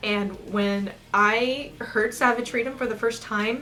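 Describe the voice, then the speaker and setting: A woman speaks with a Pacific Northwest accent. Noticeable background noise and audible room echo surround her. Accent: American, Pacific Northwest. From US Pacific Northwest, eastern Washington. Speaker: music reviewer, aspiring opera singer. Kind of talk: album review vlog.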